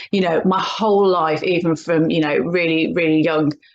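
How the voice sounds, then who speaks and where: A woman speaks in a Birmingham accent at a moderate pace. Her pitch is fairly low. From English Midlands, Birmingham. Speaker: hypnotherapist and coach. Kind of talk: casual interview chat. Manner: halting, many fillers and restarts.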